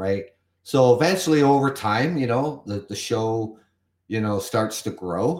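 In a very clean recording with a silent background, a man with a Canadian accent and an unremarkable speaking voice talks at a fairly slow pace, using lively intonation at a medium pitch. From Canada. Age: 50s. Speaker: podcast host. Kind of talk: solo podcast monologue reading and commenting on an article. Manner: casual with many fillers and repetitions.

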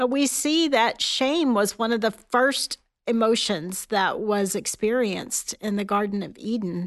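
In an unremarkable speaking voice, the speaker moves at a fairly slow pace with ordinary pitch variation against a quiet background. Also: woman. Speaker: Salvation Army officer and author. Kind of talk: faith conversation. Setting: studio.

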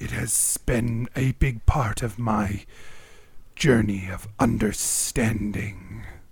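A man's put-on character voice at medium pitch, very slow, with fairly even intonation and big swings in loudness. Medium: actual play. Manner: formal, measured, no contractions.

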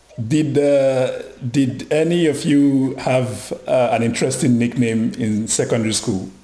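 Against noticeable background noise, a man speaks at a medium pitch and a fairly slow pace, with ordinary pitch variation, very even loudness, and hardly any pauses. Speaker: podcast co-host. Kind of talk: casual interview.

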